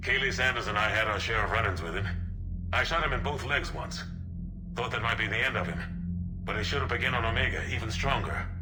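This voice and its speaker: Putting on a character voice, a man talks very fast in a fairly low pitch over loud background noise. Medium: machinima. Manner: gruff, blunt.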